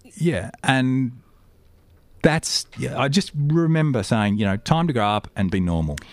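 This man's medium-pitched voice moves through very wide pitch swings at a fairly slow pace. The recording is very clean, with a silent background. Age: 40s. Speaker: aircraft maintenance engineer. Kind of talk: interview. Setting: studio.

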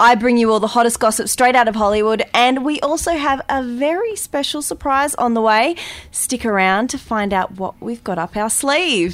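A woman with a high pitch talks at a moderate pace with lively intonation and hardly any pauses. Noticeable background noise can be heard. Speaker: radio host. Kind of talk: casual radio panel chat.

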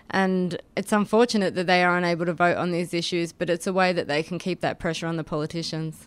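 A woman with an Australian accent, fairly low in pitch, monotone and flat, at a very fast pace, in a very clean recording with a silent background. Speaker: activist. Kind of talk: radio interview, casual chat. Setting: studio.

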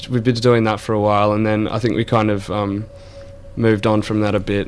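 In an Australian accent, the speaker keeps a moderate pace and a monotone, flat intonation, with long, frequent pauses. Music plays in the background. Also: man. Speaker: band member. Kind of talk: casual radio interview chat. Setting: studio. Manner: laid-back, hesitant, filler-heavy.

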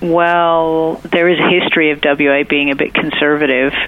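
Against noticeable background noise, a woman with an American accent speaks fairly slowly at a fairly low pitch in a monotone, flat delivery. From United States. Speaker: state politician. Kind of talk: interview. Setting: phone call.

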